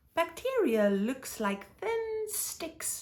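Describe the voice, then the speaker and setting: A squeaky put-on character voice with very wide pitch swings. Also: woman, extremely high pitch for a woman. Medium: read story. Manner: gentle, soothing.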